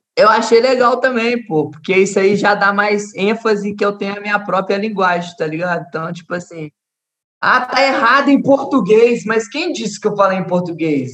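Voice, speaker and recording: A man's high voice shows ordinary pitch variation as he talks at a moderate pace. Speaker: trap artist. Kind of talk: casual chat.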